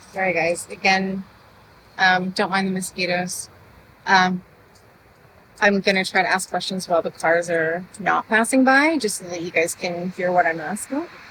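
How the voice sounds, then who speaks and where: A soft-spoken woman at a medium pitch, with a bright, sharp tone, ordinary pitch variation, a moderate pace and long, frequent pauses. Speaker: true crime channel host doing paranormal investigation. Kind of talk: on-location paranormal investigation vlog. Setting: outdoors at a cemetery by a road. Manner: speaking louder than usual.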